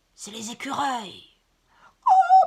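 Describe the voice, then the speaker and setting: Putting on a raspy character voice, a woman speaks at a high pitch. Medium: read story.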